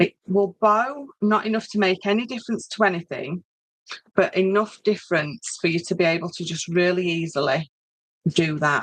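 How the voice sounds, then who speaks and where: A woman with a northern English accent speaks at medium pitch with ordinary variation and a moderate pace. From northern England. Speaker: craft tutor. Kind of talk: tutorial; casual chat. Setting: live stream. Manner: hesitant, many fillers. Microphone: laptop.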